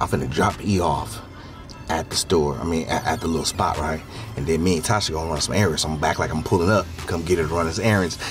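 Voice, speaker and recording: Speaking at a fairly quick pace, a man is heard over clear music in the background. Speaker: vlogger. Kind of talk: casual vlog chat.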